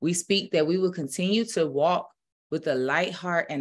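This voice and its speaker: The woman's pitch varies in an ordinary way as she talks at a moderate pace. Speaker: spiritual minister. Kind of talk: prayer, then casual sermon talk. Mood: calm, reverent. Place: home room. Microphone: webcam.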